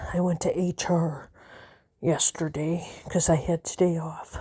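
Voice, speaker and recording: A woman with a fairly low pitch talks in a somewhat breathy voice. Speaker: vlogger. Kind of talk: personal vlog monologue. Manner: halting, hesitant.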